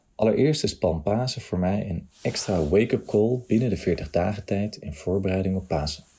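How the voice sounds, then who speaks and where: A fairly low-pitched man talks at a moderate pace with hardly any pauses, his dark, mellow tone somewhat breathy and his pitch varying in an ordinary way. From Nijmegen, Netherlands. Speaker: churchgoer giving testimony. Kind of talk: testimony, read from text.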